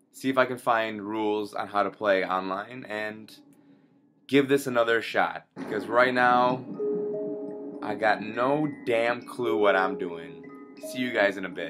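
Against clear music in the background, a man talks with ordinary pitch variation and long, frequent pauses. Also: fairly slow pace. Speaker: gamer. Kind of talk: gameplay commentary. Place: home room.

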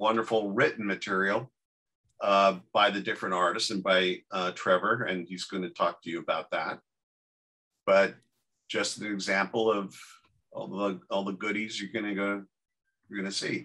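A man's bright, sharp tone at a moderate pace, fairly even in intonation, broken by long, frequent pauses. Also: fairly low pitch for a man, quiet background. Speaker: panel moderator. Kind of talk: panel discussion talk. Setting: video call. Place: garden. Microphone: video call.

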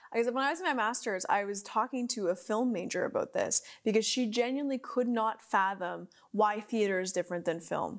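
In an animated, enthusiastic tone, a woman speaks at a fairly quick pace and fairly high pitch with ordinary pitch variation, against a quiet background. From Canada (Ontario). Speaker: podcast host. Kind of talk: casual interview chat. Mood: cheerful, animated. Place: studio.

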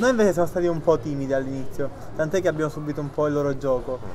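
Very fast speech from a man amid noticeable background noise. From Sicily, Palermo. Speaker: footballer. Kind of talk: interview. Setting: outdoors. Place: cafe.

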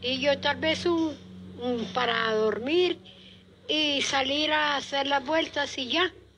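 A high-pitched woman at a very slow pace, with ordinary pitch variation and light background noise. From Colombia, Tolima, rural. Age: 70s. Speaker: cancer patient. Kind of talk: interview testimony. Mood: grateful, faithful, calm. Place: home room. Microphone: handheld.

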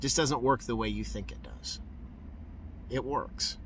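Over light background noise, a man speaks with vocal fry and very wide pitch swings. The sound is dry, with no echo. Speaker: street preacher. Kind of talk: street preaching, fervent testimony. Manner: animated, exuberant, joyful; excitable, repeating for emphasis. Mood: joyful, emotional. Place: car. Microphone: phone near.

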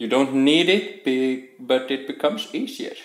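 A man is heard speaking with audible room echo. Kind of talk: casual cooking vlog chat. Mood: playful, joking. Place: kitchen. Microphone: phone near.

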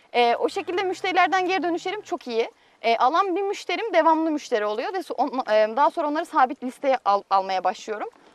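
At a fairly quick pace with hardly any pauses, a woman speaks in a high pitch with very wide pitch swings, and the sound is dry with no echo. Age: 20s. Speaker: dairy farmer. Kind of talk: interview. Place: farm.

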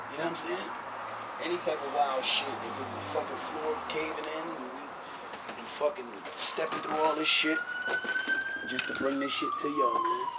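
Loud background noise behind a man's moderately paced speech. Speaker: urban explorer host. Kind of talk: casual vlog chat. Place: empty room. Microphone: camera far.

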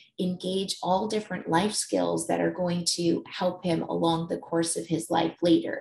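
Against audible room echo, a woman speaks with hardly any pauses. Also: moderate pace. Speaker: conference presenter. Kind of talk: presentation talk. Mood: warm, personal storytelling. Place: home room. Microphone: webcam.

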